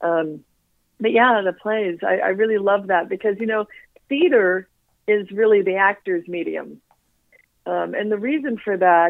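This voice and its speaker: A woman talks in a normal speaking voice at medium pitch and a moderate pace. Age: 60s. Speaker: actress. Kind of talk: casual chat. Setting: phone call.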